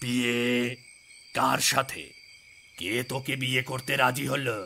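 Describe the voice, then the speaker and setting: The speaker uses a cartoonish character voice at a very slow pace. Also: man, medium pitch for a man. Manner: authoritative, gruff.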